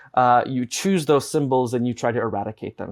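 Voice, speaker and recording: A man speaks in a Chicago accent, the recording dry and close with no echo. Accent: American Midwest (Chicago). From Chicago, US Midwest. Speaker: advocacy director and former radio journalist. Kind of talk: interview. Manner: frequent fillers and restarts.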